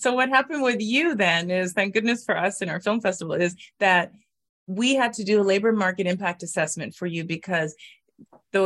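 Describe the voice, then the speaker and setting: A woman talks at a fairly quick pace with ordinary pitch variation. Hers is an ordinary speaking voice. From Canada. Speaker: immigration lawyer. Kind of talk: casual interview.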